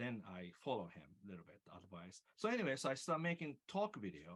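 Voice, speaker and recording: Swinging very widely in pitch, a man with a fairly low voice talks at a moderate pace. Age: old. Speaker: guitar teacher. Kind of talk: panel discussion. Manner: halting.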